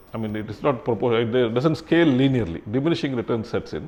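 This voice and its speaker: A man is speaking. He has a Kannada accent. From Karnataka, India. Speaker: retired civil servant. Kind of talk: interview. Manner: halting, many fillers and restarts.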